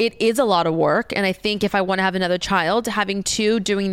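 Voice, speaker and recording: Speaking fairly quickly, a plain, everyday voice shows normal rises and falls in pitch. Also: woman. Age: 30s. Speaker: podcaster. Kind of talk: casual chat.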